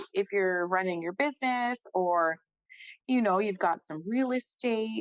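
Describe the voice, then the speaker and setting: Spoken at a fairly slow pace with lively intonation and an animated tone, the voice sounds dry and close, with no echo. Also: woman. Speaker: financial advisor. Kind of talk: casual chat. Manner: loud.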